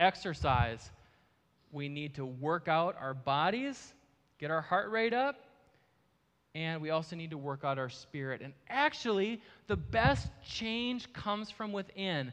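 Speaking in an Upper Midwest accent, a man moves at a fairly slow pace with long, frequent pauses. His pitch swings very widely. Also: fairly high pitch for a man. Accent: Upper Midwest American. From US Midwest (Marshfield, Wisconsin). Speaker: ministry founder, guest speaker. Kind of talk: sermon. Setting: church with live audience.

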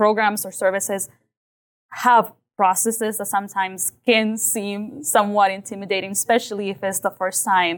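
A woman with a plain, everyday voice speaks at a medium pitch and moderate pace with fairly even intonation, on a very clean recording with a silent background. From Mexico, raised in southwest Kansas from age eight. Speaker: community health leader. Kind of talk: interview. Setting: adult learning center room.

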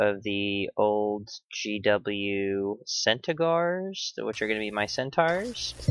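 Against a quiet background, a man with a fairly low voice speaks at a very slow pace with ordinary pitch variation. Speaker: podcast host. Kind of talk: casual chat. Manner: casual, profane.

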